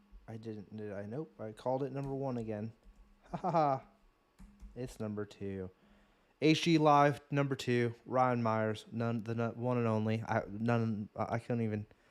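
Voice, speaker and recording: Music plays in the background as a man speaks at a moderate pace. His voice sits at a medium pitch with ordinary variation. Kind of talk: casual chat. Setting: livestream. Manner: stuttering.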